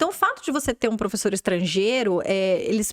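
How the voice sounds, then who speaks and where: A fairly high-pitched woman's voice in a dry, close sound with no echo. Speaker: podcast host, English school owner. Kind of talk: interview.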